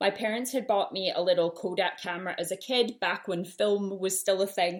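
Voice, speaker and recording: Delivered fairly quickly, the speech keeps its intonation fairly even. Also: woman. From Canada, Winnipeg. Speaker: podcast host, small business owner. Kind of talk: solo podcast monologue. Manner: casual, frequent ums.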